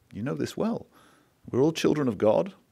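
Vocal fry runs through a man's dark, mellow tone, heard over a quiet background. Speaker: business executive. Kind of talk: onstage interview conversation. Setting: stage with audience. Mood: earnest, reflective. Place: stage. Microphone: podium.

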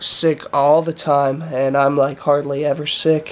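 A man speaks at a fairly slow pace in a tired tone. His intonation is monotone and flat. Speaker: vlogger. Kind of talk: casual vlog chat. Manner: congested, tired sick voice. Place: home room. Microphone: phone near.

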